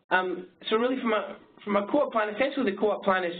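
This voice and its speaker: Audible room echo hangs around this voice. The man is talking fairly quickly. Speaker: marketing agency presenter. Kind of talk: webinar presentation. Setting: webinar. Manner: fast; halting.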